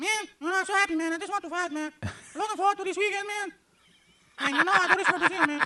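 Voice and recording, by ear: Using a put-on character voice at an extremely high pitch, a man rattles along at a very fast pace, broken by long, frequent pauses.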